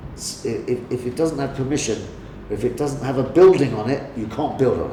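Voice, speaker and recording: A man with an American accent talks at a fairly quick pace with ordinary pitch variation. There's noticeable background noise and audible room echo. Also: medium pitch for a man. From London, England (Lambeth). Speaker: real estate agent. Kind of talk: interview. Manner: halting, many repetitions.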